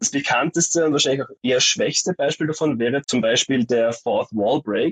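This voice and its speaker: At a moderate pace, a man speaks in a fairly high pitch, the sound dry and close with no echo. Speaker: graduate, art education student. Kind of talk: interview about his thesis. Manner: animated.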